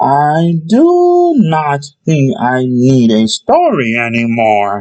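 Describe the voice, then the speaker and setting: A put-on character voice at a low-to-middle pitch moves along at a very slow pace. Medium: read story. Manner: gentle, kindly.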